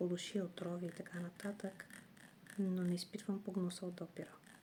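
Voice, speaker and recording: A woman's soft-spoken whisper. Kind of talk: ASMR this-or-that game, whispered then soft-spoken. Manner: whispered, soft-spoken.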